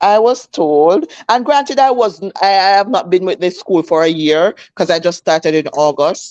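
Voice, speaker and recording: A woman speaks with a Jamaican accent at a medium pitch, with hardly any pauses. Her intonation is lively and her loudness very even. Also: moderate pace. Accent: Jamaican, with patois features. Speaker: schoolteacher. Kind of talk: casual chat. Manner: animated.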